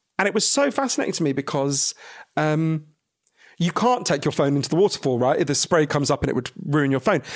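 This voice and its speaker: A man talks at a fairly quick pace with ordinary pitch variation and very even loudness. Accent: British. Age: 40s. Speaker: author. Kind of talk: casual chat. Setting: in person in London.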